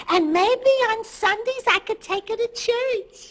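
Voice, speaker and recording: Squeaky and extremely high-pitched, a woman's put-on character voice comes at a fairly slow pace. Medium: short film. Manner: innocent, earnest.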